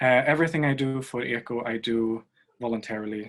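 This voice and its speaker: At a moderate pace, a man of medium pitch talks with fairly even intonation. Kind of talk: conference presentation. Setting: video call.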